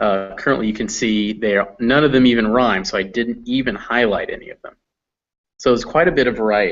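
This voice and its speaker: A man with a General American accent uses a normal speaking voice at a medium pitch with ordinary pitch variation. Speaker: English teacher. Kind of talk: online class. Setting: video call.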